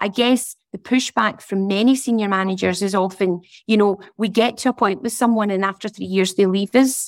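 A woman's voice, a normal speaking voice, at a moderate pace with fairly even intonation and a dry, close sound with no echo. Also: medium pitch for a woman, hardly any pauses. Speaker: coach and trainer. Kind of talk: discussion comment. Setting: video call.

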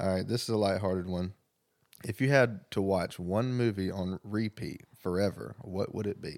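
An unremarkable speaking voice at a moderate pace with fairly even intonation, on a very clean recording with a silent background. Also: man, fairly low pitch for a man. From US South. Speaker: podcast co-host. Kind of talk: casual chat. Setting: on a couch at home.

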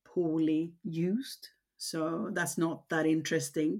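A woman's fairly low voice with a Swedish accent on a very clean recording with a silent background. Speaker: cosmetics company founder. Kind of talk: interview.

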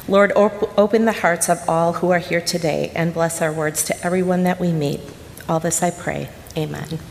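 A woman speaks at a moderate pace in a monotone, flat intonation. Her fairly low voice comes with noticeable background noise. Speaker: missionary. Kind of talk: sermon. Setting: church.

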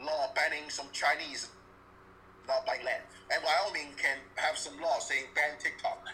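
A man speaks at a moderate pace through noticeable background noise. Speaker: caller. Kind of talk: call-in commentary.

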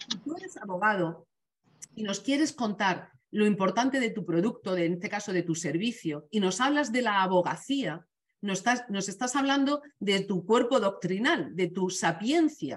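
Speaking in a Castilian accent, a woman has a somewhat breathy voice at a medium pitch. Her intonation is lively and her pace moderate. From Spain. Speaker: communication trainer. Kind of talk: webinar talk.

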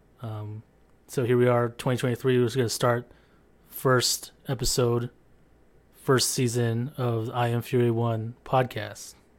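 A man's medium-pitched voice with an American accent, flat and monotone, at a fairly slow pace with long, frequent pauses. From San Diego, California. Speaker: army veteran and streamer. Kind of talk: solo podcast monologue. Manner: halting, many fillers.

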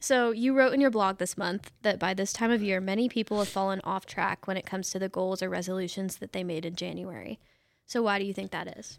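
On a very clean recording with a silent background, a woman with an unremarkable speaking voice talks at a fairly quick pace and medium pitch with ordinary pitch variation. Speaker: social media coordinator and podcast host. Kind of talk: interview-style podcast chat.

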